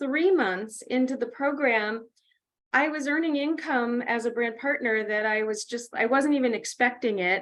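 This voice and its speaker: Against a quiet background, a woman speaks at a high pitch. Her pitch variation is ordinary. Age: 60s. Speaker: health coach and author. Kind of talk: testimony.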